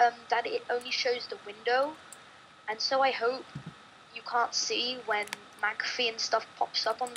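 A woman talks in a high voice while noticeable background noise carries on. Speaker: gamer guest. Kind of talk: casual gameplay commentary. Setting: online voice call with headset. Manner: playful, giggly.

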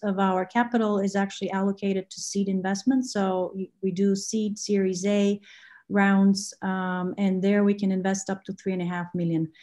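A woman talks in a dark, mellow tone, somewhat breathy. The background stays quiet. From Bulgaria. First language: Bulgarian. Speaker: venture capital investor. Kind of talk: interview. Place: home room. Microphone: video call.

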